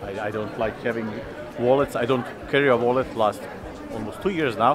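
Music plays in the background as a man speaks at a moderate pace. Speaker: vlogger. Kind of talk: casual vlog chat. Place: street. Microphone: phone near.

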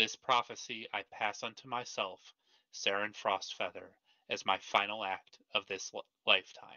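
Putting on a booming character voice, a man speaks at a medium pitch and a moderate pace. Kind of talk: solemn prophecy.

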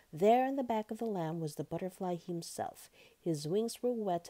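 An unforced reading voice is heard here.

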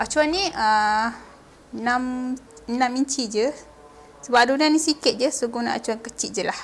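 A woman speaks at a fairly slow pace in a high pitch, with ordinary pitch variation. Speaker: cooking video host. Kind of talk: cooking tutorial. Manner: casual.

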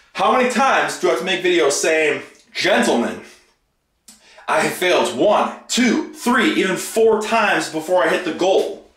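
Audible room echo surrounds a man talking in a quiet background. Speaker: fitness vlogger. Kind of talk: casual vlog chat. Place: bathroom. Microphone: phone near.

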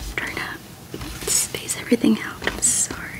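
Someone is whispering at a fairly slow pace. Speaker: ASMR creator. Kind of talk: ASMR jigsaw puzzle session. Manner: whispered, soft-spoken.

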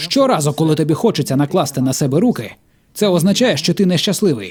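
The recording is very clean, with a silent background. A man with vocal fry speaks at a moderate pace and a fairly high pitch. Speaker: voice-over dubber. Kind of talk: dubbed stand-up comedy.

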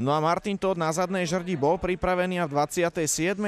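A man speaks in an animated tone. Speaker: football commentator. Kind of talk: live sports commentary, play-by-play over match footage. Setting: studio voiceover over match highlights. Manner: animated, fast play-by-play delivery; informative, naming players and minutes rapidly.

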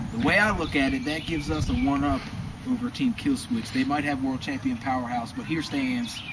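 There is noticeable background noise. Over it, a man talks at a moderate pace. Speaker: backyard wrestling announcer character. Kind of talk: wrestling promo. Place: garden. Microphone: camera far.

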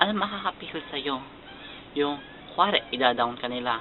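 A man's fairly quick speech comes through with noticeable background noise. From Philippines. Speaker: YouTuber. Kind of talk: casual vlog.

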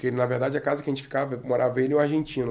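At a very fast pace, a man speaks with medium pitch. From Brazil, Rio de Janeiro state (Araruama); Rio de Janeiro state, Brazil. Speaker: former footballer and football coach; football coach. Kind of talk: testimony. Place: studio. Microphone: studio mic.

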